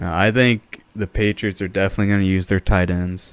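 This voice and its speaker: A very deep, low male voice at a fairly quick pace, dry and close with no echo. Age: 20s. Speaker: fantasy football podcast co-host. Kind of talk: casual chat.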